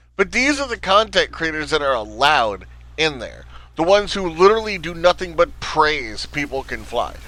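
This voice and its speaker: A man talks in an animated tone with a New Jersey accent. His pace is fairly quick. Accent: New Jersey way of talking. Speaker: gaming YouTuber. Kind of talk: casual rant.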